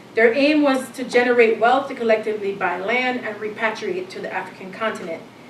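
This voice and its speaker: A woman with a fairly high pitch speaks with lively intonation. Noticeable background noise and audible room echo surround her. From Jamaica. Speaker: professor. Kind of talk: lecture. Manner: reading from a prepared text with fillers.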